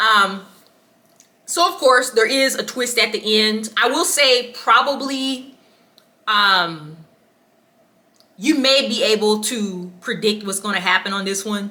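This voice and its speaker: A woman's fairly high voice with lively intonation at a very slow pace, broken by long, frequent pauses. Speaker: book reviewer. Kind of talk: casual book review vlog. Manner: casual, filler-heavy with ums.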